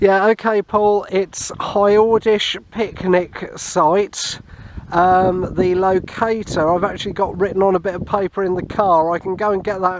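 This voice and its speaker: Over noticeable background noise, a man speaks in a high-pitched, monotone voice with flat intonation. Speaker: amateur radio hobbyist. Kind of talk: vlog narration; radio contact exchange.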